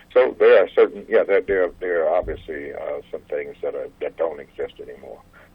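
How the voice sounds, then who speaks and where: A man with an American accent speaks at an extremely high pitch and moderate pace, his intonation fairly even and hardly any pauses. His loudness swings widely, and noticeable background noise is present. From US South, Kentucky then California. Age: 70s. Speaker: civil rights activist. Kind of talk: interview.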